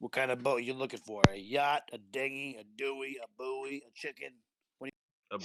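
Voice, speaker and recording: At a moderate pace and medium pitch, a man puts on a raspy character voice. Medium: actual play. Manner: casual, gruff, salesman-like.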